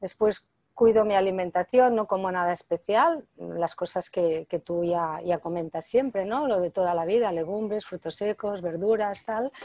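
Speaking at a fairly slow pace, a woman has a dark, mellow tone in a dry sound with no echo. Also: medium pitch for a woman, ordinary pitch variation. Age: 60s. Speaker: author and natural health expert; interviewee. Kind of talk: interview. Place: home room. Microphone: earbuds.

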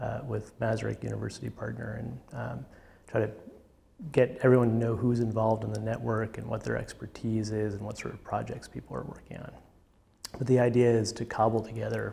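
A man's fairly quick, monotone delivery with flat intonation. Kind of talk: interview answer. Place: studio. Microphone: lapel.

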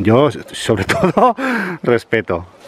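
A man's voice is heard with light background noise and a dry sound with no echo. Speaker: hiking vlogger. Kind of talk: casual vlog chat. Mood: enthusiastic, admiring.

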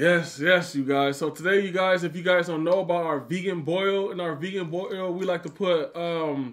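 The speech moves at a moderate pace with hardly any pauses. Intonation stays fairly even, and the background is quiet. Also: man, high pitch for a man. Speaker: food vlogger host. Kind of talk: casual vlog chat.

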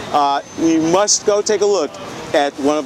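Noticeable background noise sits under a man speaking at a moderate pace with lively intonation. The sound is dry, with no echo. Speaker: travel video host. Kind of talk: travel presentation to camera. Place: market.

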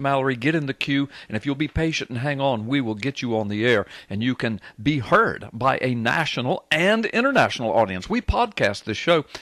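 With a Southern US accent, a man talks at a fairly quick pace with hardly any pauses and lively intonation, in a dry sound with no echo against a quiet background. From US South. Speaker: radio talk show host. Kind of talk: talk radio call-in show. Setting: radio studio. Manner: animated. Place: studio.

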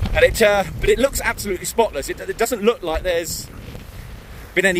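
A man's voice sounds dry with no echo, with noticeable background noise. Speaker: travel vlogger. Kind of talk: casual vlog chat. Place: waterside. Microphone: phone near.

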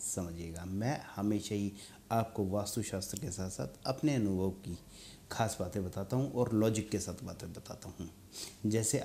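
The voice is somewhat breathy, with ordinary pitch variation. Light background noise is present. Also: man. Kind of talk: advice talk to camera. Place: studio. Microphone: lapel.

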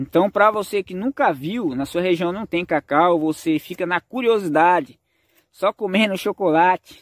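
Over a quiet background, a man with a high pitch speaks at a moderate pace. His pitch variation is ordinary, and the sound is dry with no echo. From rural Brazil, cacao region. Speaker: farming YouTuber. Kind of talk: casual vlog narration. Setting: outdoors on a farm. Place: forest. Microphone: phone near.

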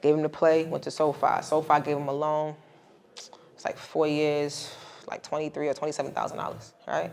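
A woman speaks with an American accent at a very deep, low pitch. Her intonation is monotone and flat. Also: moderate pace. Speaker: credit and travel expert, middle school teacher; middle school teacher. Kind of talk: casual podcast interview. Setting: recorded on site at a conference. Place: studio.

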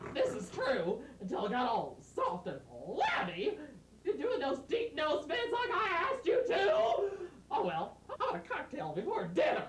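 A man uses a put-on character voice pitched extremely high. Loud background noise and a slight echo surround him. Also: moderate pace. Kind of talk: comic overacting, sitcom parody. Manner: whiny, demanding.

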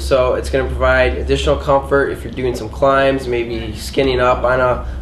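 Over clear background noise, a man at a medium pitch speaks at a moderate pace with little pitch movement.

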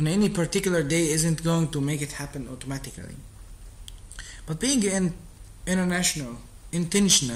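A man with an Arabic accent talks at a fairly quick pace in a high voice, with ordinary pitch variation and long, frequent pauses. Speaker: streamer practicing English. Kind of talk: reading aloud. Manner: halting.

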